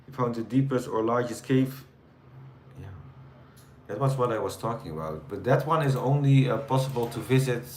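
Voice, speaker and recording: Against noticeable background noise and audible room echo, a man with a Dutch accent speaks at a moderate pace and a medium pitch, with ordinary pitch variation. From Netherlands. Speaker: live streamer. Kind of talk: casual chat with live chat viewers. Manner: hesitant, many fillers.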